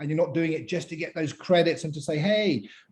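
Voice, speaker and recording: In a British accent, a man speaks with a fairly high pitch. His tone is dark and mellow. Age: 50s. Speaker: pitch coach and mentor. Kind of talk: interactive online talk. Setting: video call. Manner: animated.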